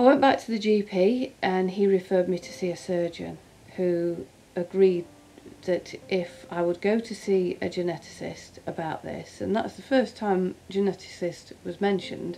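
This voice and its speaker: A woman with an East Midlands accent, ordinary pitch variation, and noticeable background noise. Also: medium pitch for a woman, moderate pace. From England, East Midlands (Derbyshire). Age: 50s. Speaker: cancer survivor. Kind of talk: personal testimony interview.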